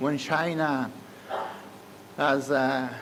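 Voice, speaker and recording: Noticeable background noise surrounds a man's voice. Audible room echo is present as well. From Italy. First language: Italian. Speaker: economics professor. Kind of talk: conference keynote speech. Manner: hesitant, many filler sounds.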